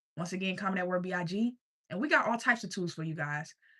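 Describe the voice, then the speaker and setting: Bright and sharp in tone, a woman speaks at a medium pitch with a slight country accent. Her pitch varies in an ordinary way. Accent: slight country twang. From US South, Richmond, Virginia. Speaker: life coach streamer. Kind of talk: sales pitch. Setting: livestream.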